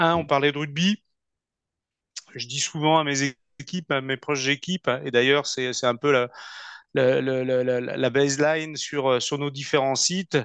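A man with a fairly high pitch talks at a fairly slow pace, leaving long, frequent pauses, his intonation fairly even. The sound is dry and close with no echo, over a quiet background. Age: 40s. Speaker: company CEO. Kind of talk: interview. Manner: halting.

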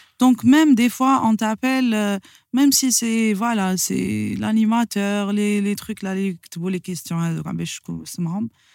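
An ordinary speaking voice with hardly any pauses, recorded with a dry, close sound and no echo. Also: woman, medium pitch for a woman, ordinary pitch variation, moderate pace. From Algeria, Sidi Bel Abbes. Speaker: singer of Andalusian music and business owner. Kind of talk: casual interview chat.

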